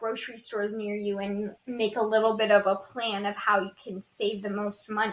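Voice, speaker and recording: Over noticeable background noise, a woman speaks at a moderate pace with fairly high pitch. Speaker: podcast co-host. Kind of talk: casual podcast conversation.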